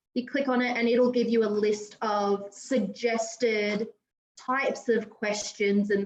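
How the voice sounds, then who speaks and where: This woman has an Australian accent and a fairly high pitch. She speaks at a very slow pace with fairly even intonation. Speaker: teacher presenting at an educator meetup. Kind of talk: tutorial demo.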